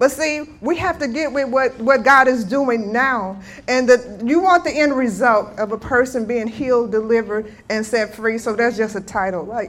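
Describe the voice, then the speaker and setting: A woman in a plain, everyday voice speaks at a fairly high pitch and moderate pace, with ordinary pitch variation and hardly any pauses. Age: 60s. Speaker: guest minister. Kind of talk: sermon.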